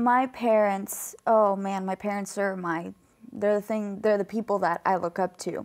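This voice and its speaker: In a very clean recording with a silent background, a woman with a normal speaking voice at medium pitch speaks at a fairly slow pace with fairly even intonation. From Colombia, raised in US from age 3. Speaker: student athlete, wrestler. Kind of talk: interview.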